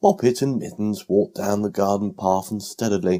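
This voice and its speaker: A man speaks with a British accent in a dark, mellow tone at a moderate pace. The recording is very clean, with a silent background. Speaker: audiobook narrator. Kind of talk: children's bedtime story reading.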